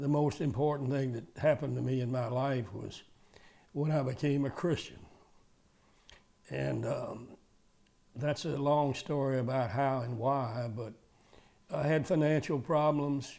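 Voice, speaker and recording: In a Southern US accent, a man with a fairly high pitch and a dark, mellow tone speaks at a fairly slow pace. His intonation is fairly even, and his pauses are long and frequent. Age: 80s+. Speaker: retired car dealer. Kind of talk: interview testimony. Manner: halting.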